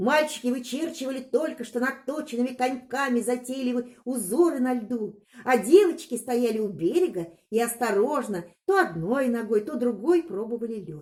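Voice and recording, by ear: A woman speaks with a fairly high pitch, lively intonation and a slightly mellow tone. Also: moderate pace.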